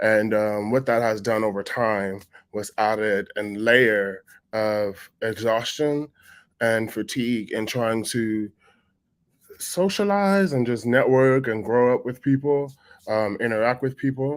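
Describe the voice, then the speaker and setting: On a very clean recording with a silent background, a man speaks at a medium pitch and a fairly slow pace with ordinary pitch variation. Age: 30s. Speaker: panelist living with sickle cell disease. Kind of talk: roundtable discussion. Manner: hesitant, many fillers.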